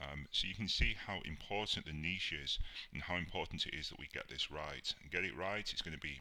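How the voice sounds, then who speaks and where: With vocal fry and a bright, sharp tone, a man speaks at a very fast pace. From UK. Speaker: online marketing instructor. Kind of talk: tutorial.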